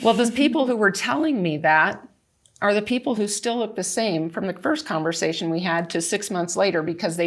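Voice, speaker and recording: A plain, everyday voice at a moderate pace, with ordinary pitch variation, on a very clean recording with a silent background. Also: woman. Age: 60s. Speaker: wellness product consultant. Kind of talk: panel discussion.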